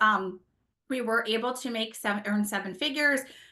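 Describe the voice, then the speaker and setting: Loud and animated, a woman with a New Jersey accent talks at a fairly quick pace in a bright, sharp tone with ordinary pitch variation. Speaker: network marketing leader and former nurse. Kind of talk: motivational talk to an audience.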